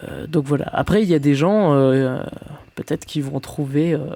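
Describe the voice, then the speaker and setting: A dark, mellow tone at a moderate pace. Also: man. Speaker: gaming YouTuber. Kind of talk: let's play commentary. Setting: home at night. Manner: halting, many fillers.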